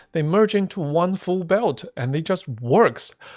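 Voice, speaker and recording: The speaker uses lively intonation, with music playing in the background. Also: man. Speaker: gaming youtuber. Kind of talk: gameplay commentary.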